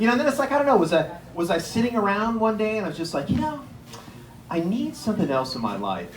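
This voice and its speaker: A man's high voice with an American accent, noticeable background noise and audible room echo. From Erie, Pennsylvania. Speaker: comedian. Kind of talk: stand-up. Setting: stage with audience. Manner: fast.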